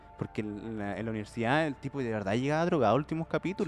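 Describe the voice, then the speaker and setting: Someone speaks very fast in a Chilean accent. Music plays in the background. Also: man. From Chile, Santiago (Puente Alto). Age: 20s. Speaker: comedy podcast host. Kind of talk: casual chat.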